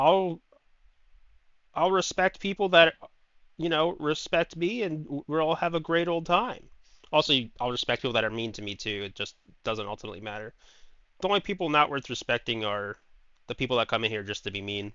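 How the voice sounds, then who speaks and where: At a fairly quick pace, a man with a fairly high pitch makes very wide pitch swings and leaves long, frequent pauses. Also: big swings in loudness. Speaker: video game streamer. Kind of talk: live gameplay stream. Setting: live stream with chat. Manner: loud, shouting; excitable, animated.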